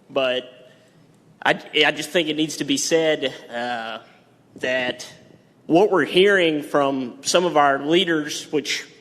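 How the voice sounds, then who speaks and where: Speaking with a Texas accent, a man uses a fairly high pitch and ordinary pitch variation. His pace is very slow, with long, frequent pauses. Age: 20s. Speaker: farmer, public commenter. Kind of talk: public comment at county meeting. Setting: county courtroom with audience. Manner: halting.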